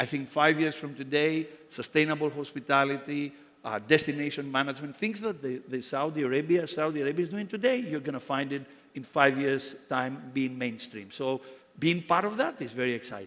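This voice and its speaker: Fairly high-pitched for a man, this speaker moves at a fairly quick pace with ordinary pitch variation. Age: 60s. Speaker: hotel company executive. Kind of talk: panel discussion. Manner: halting, many repeated words.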